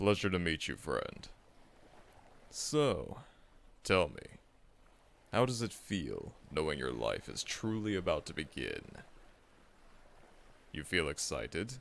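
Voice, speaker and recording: A man puts on a character voice with a fairly low pitch. He speaks fairly slowly, with long, frequent pauses. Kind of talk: ASMR audio roleplay. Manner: calm, relaxing, friendly.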